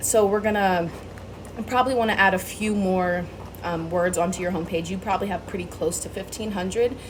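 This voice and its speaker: Over noticeable background noise and audible room echo, a woman of medium pitch talks at a fairly quick pace with ordinary pitch variation. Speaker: small business owner pitching SEO services. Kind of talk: sales pitch tutorial recorded for a client. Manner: fast; casual, many filler ums.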